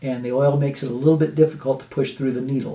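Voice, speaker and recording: A man's dark, mellow, somewhat breathy voice moves with fairly even intonation. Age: 60s. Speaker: health video host. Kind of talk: informal health talk to camera. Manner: halting, many fillers and repeats.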